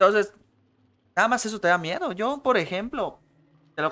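Animated and bright, sharp in tone, a man with a Mexican accent talks at a fairly quick pace. His pitch makes very wide swings. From Mexico. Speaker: podcast host. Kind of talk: casual chat. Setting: livestream with webcam.

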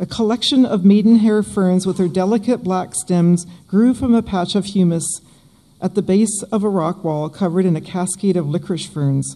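The voice has a dark, mellow tone, a moderate pace and ordinary pitch variation. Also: woman.

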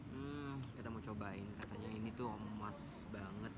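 Loud background noise behind a man speaking at a fairly slow pace. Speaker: solo food vlogger. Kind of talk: casual vlog chat. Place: cafe. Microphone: phone near.

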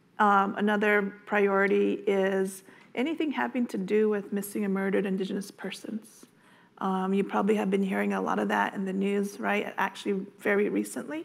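A woman speaking at a fairly quick pace with ordinary pitch variation. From Navajo Nation, Arizona. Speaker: state agency director. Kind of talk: conference panel talk. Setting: stage with audience. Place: meeting room.

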